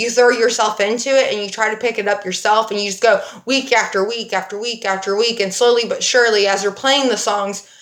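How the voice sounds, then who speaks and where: Against noticeable background noise, a woman with a fairly high pitch and an animated tone talks at a fairly quick pace with hardly any pauses. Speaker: dance fitness instructor. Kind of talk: livestream talk to class. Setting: livestream.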